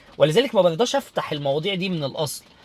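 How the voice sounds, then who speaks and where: At a fairly quick pace, a man with a fairly high voice speaks with lively intonation. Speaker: interior design instructor. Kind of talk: casual talk to camera. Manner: loud; halting, many repetitions.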